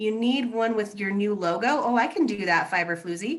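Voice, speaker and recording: A woman with a fairly high pitch talks at a very fast pace with ordinary pitch variation. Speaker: podcast co-host and crafter. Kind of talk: casual live show chat. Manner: fast when excited.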